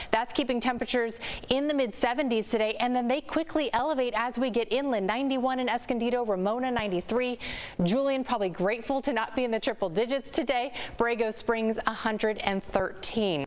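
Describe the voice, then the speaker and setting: Over noticeable background noise, a woman speaks very fast in a high pitch. Her loudness stays very even while her pitch varies in an ordinary way. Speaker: news anchor and reporter. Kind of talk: TV weather forecast.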